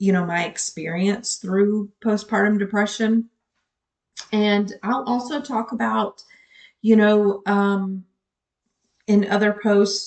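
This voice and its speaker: Her pitch is medium. The woman talks at a very slow pace, with long, frequent pauses. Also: fairly even intonation. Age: 50s. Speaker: nurse and postpartum depression vlogger. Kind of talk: personal vlog monologue. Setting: home office. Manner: stutters and rambles; hesitant, many filler words.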